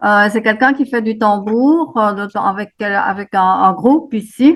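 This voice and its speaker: Her pitch fairly high, a woman speaks at a very slow pace. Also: ordinary pitch variation. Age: 80s+. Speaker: workshop participant. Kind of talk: introduction in a group video call. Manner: halting, many fillers.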